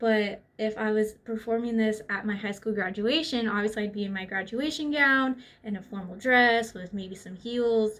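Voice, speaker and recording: In an American accent, a woman talks at a moderate pace with a fairly high pitch. Her tone is animated, and there are hardly any pauses. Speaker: student. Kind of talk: class presentation. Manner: casual.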